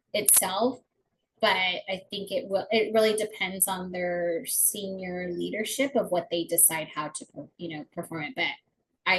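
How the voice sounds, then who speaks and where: Somewhat breathy, a woman speaks at a medium pitch. Her pace is moderate. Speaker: family support program director presenting to spouses. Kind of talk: informational webinar presentation. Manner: hesitant, many fillers.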